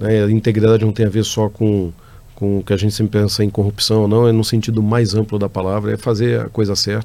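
A man with a fairly low voice talks at a fairly quick pace in a monotone, flat intonation. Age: 50s. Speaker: company executive. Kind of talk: interview answers. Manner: halting, many fillers.

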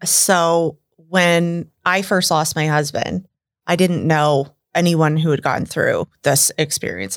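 In an American accent, a woman talks very slowly with a very deep, low pitch. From US Midwest, Iowa (Des Moines suburb). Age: 40s. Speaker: widow sharing her story. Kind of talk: personal testimony in casual interview. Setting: studio.

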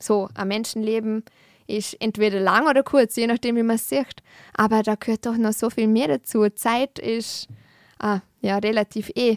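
A woman with an unremarkable speaking voice talks at a fairly high pitch with ordinary pitch variation, recorded with a dry, close sound and no echo. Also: moderate pace. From Austria, Vorarlberg (Lustenau). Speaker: peace and conflict researcher. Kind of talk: interview conversation.

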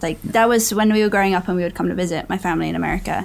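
A woman's medium-pitched voice with an English accent. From England. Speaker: actress and podcast co-host. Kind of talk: casual chat.

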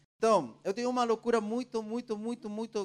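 A man speaks with a Spanish accent. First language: Spanish (speaking Portuguese). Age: 40s. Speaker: preacher. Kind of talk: sermon.

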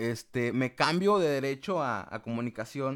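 Speaking with a Mexican accent, a man at a medium pitch uses lively intonation. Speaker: podcast host, communication student. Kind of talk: casual chat. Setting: remote call with guest.

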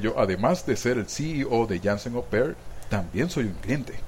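A man's medium-pitched voice with a Venezuelan accent, animated in tone, at a moderate pace. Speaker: podcast host. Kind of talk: casual chat. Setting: studio.

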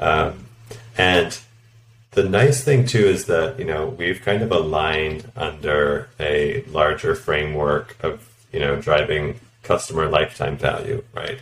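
A man with a Canadian accent speaks in a very deep, low voice at a fairly slow pace. His pitch swings very widely, and there is noticeable background noise. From Canada. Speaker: product director. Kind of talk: interview.

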